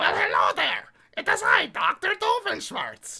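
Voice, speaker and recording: Moderate pace and extremely high pitch in a cartoonish character voice. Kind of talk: put-on cartoon voice. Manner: theatrical, comic.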